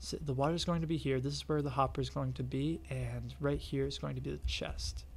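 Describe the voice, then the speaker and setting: A quiet man speaks at a fairly quick pace with audible room echo. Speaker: gaming youtuber. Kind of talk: tutorial. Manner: quiet, hushed.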